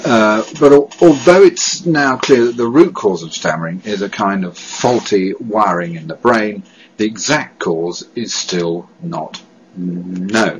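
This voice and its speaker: His pitch swings very widely up and down. This man talks at a very slow pace. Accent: British. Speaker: stammering charity director. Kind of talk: testimony. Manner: halting.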